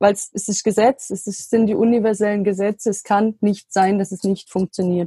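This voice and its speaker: At a moderate pace with hardly any pauses, a woman speaks in a somewhat breathy, monotone, flat voice of medium pitch, with a dry, close sound and no echo. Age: 20s. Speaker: trained geriatric nurse and health coach founder. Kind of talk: interview. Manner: hesitant with fillers.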